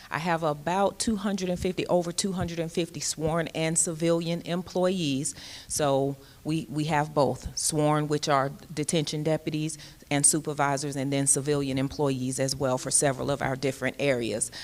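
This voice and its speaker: At a moderate pace, a woman speaks with a very deep, low pitch and fairly even intonation. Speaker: jail commander, sheriff's major. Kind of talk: panel talk at public forum. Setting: stage with audience, microphone. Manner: loud.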